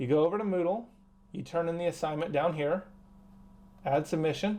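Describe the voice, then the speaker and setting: A man with a high pitch and a dark, mellow tone talks at a fairly quick pace with ordinary pitch variation. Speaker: high school teacher. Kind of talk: tutorial. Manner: fast; animated.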